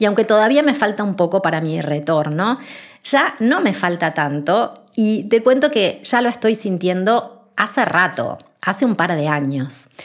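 Her pitch sits at a medium level for a woman, yet swings very widely. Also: fairly slow pace. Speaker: spiritual podcast host. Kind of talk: spiritual monologue.

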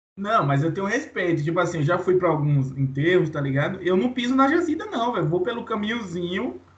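With noticeable noise behind him, a man speaks high and fairly quick with lively intonation and hardly any pauses. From Bahia, Brazil (Santo Antônio de Jesus). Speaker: podcast co-host. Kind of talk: casual chat.

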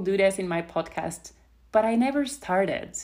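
A woman speaks with a non-native accent. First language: not English. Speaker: podcast host and life coach. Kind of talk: solo podcast monologue. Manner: warm, casual.

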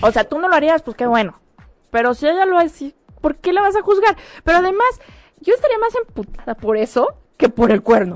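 With an extremely high pitch and very wide pitch swings, a woman talks at a fairly quick pace with long, frequent pauses, in a dry, close sound with no echo. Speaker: guest co-host. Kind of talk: casual chat.

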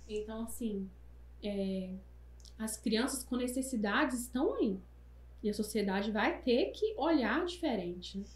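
Audible room echo surrounds a woman who speaks at a fairly slow pace, leaving long, frequent pauses. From Brazil, Minas Gerais. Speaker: entrepreneur and mother. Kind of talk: casual chat.

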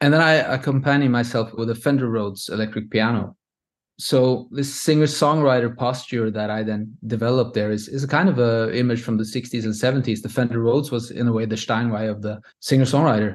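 A man talks with a Norwegian accent. His pace is fairly quick. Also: medium pitch for a man, fairly even intonation. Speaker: composer. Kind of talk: interview. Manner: halting.

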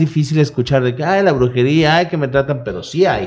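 Fairly quick speech with ordinary pitch variation. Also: man. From Mexico, Veracruz. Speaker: radio host. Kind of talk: casual chat.

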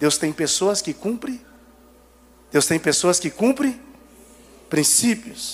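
Long, frequent pauses break up a very slow delivery with lively intonation. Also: man, high pitch for a man. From Brazil, Goiânia area (Garavelo). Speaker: guest preacher. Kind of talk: sermon. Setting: church. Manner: animated.

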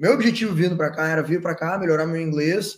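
A man speaks in a southern Brazilian accent. His pitch is fairly high and his intonation fairly even. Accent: gaúcho Brazilian Portuguese. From southern Brazil, Porto Alegre. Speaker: entrepreneur, events business founder. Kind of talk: casual interview chat.

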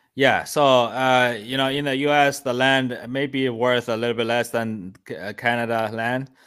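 In a Chinese accent, a man speaks fairly slowly with fairly even intonation. The recording is very clean, with a silent background. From China. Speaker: land flipping investor and coach. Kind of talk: podcast interview.

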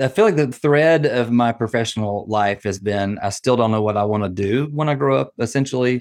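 A man's fairly quick speech with a slight Southern US accent, hardly any pauses and ordinary pitch variation, against a quiet background. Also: medium pitch for a man. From US South, Nashville, Tennessee. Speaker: nonprofit training director and consultant. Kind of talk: interview.

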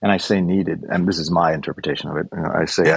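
A man speaks with a Chicago accent. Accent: American, Chicago. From US Midwest, Chicago. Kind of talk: casual chat.

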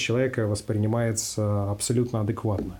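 A man's voice with audible room echo. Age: 20s. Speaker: psychiatrist. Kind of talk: interview answers. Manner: formal.

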